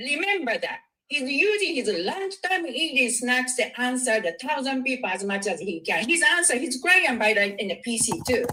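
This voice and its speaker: Raised and projected, the voice moves at a fairly slow pace with an animated tone and very wide pitch swings. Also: woman. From Japan. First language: Japanese. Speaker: viewer calling in. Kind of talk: casual chat.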